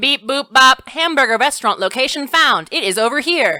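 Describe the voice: A woman's put-on, robotic character voice, high in pitch, at a moderate pace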